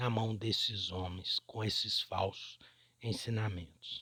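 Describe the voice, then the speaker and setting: A somewhat breathy male voice, dry and close with no echo, on a very clean recording with a silent background. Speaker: religious teacher reading scripture. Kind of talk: scripture reading with commentary.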